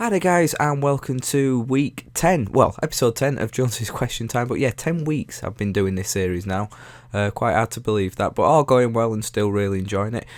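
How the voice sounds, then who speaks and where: The speaker has a Yorkshire accent and lively intonation. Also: man, medium pitch for a man, moderate pace. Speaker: YouTuber. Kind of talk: casual Q&A monologue. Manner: halting, many fillers.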